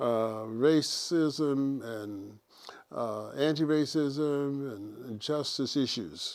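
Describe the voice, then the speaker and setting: Speaking at a very slow pace, a man with an American accent has a fairly high pitch and ordinary pitch variation. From Virginia and Pennsylvania, US. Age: 80s+. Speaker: retired music educator. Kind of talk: personal testimony. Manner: halting.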